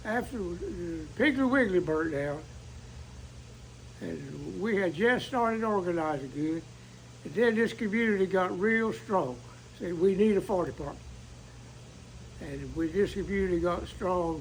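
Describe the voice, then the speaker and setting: With an eastern North Carolina accent, a man with a high pitch speaks at a moderate pace using lively intonation and long, frequent pauses. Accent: Southern US (eastern North Carolina). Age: 80s+. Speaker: volunteer firefighter. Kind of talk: interview. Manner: halting.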